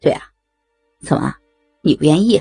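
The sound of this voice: Over faint background music, a woman does a put-on character voice with a low pitch and a dark, mellow tone. Vocal fry and a husky, rough edge run through her lively intonation. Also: moderate pace.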